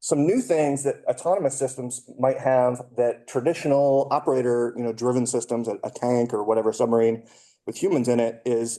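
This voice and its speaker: A man speaks in a dark, mellow tone. His intonation stays fairly even. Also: medium pitch for a man, fairly quick pace. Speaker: conference speaker, defense test and evaluation researcher. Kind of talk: conference talk. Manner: fast; hesitant, many fillers.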